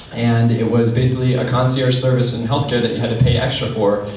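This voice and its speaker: A man at medium pitch and a fairly quick pace, with noticeable background noise and audible room echo. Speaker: tech startup founder and CEO. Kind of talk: conference panel talk. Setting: stage with audience. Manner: fast. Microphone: held far from the mouth.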